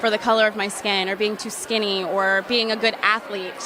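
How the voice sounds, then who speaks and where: With an American accent, a woman speaks at a fairly high pitch amid audible room echo and noticeable background noise. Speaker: pageant contestant. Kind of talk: interview answer.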